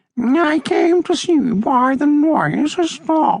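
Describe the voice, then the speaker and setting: A put-on character voice speaks very slowly at a high pitch. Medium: read story. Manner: prim, precise.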